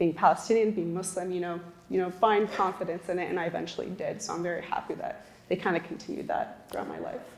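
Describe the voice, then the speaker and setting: In an American accent, a woman talks at a very fast pace with a medium pitch and fairly even intonation. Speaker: panelist. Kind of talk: panel discussion.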